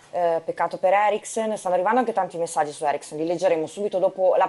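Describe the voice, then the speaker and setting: A woman's fairly low voice at a very fast pace. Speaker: TV sports show presenter. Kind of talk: TV football talk show. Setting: TV studio. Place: studio. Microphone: lapel.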